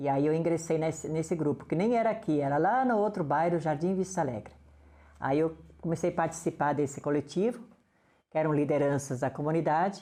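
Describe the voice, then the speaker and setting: Her voice sits very deep and low, with a dark, mellow tone and ordinary pitch variation. This woman talks at a fairly quick pace with very even loudness. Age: 60s. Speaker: community radio coordinator. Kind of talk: interview.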